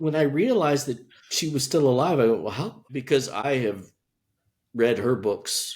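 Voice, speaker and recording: A man with a normal speaking voice talks at a moderate pace, fairly high in pitch and with lively intonation. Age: 60s. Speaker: podcast host. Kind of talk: interview.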